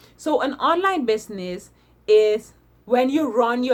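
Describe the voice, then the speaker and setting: Her intonation is lively as she speaks. The woman keeps a moderate tempo. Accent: non-native. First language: not English. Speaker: online business vlogger. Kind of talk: casual talk to camera. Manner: hesitant; tongue clicking.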